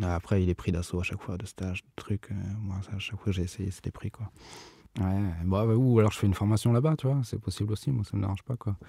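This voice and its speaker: On a very clean recording with a silent background and a dry, close sound free of echo, a man talks at a very fast pace in a fairly low, dark and mellow voice that is somewhat breathy, with ordinary pitch variation. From Bordeaux, France. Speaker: rapper and sound engineering student. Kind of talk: casual interview chat. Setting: recording studio. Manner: relaxed, casual.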